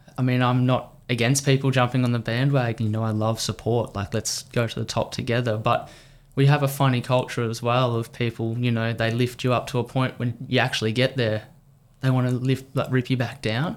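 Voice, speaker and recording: At a fairly quick pace, a man with an Australian accent speaks at a medium pitch in a monotone, flat intonation, captured in a very clean recording with a silent background. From Australia, country Victoria. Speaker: professional triathlete. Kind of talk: podcast interview. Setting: studio.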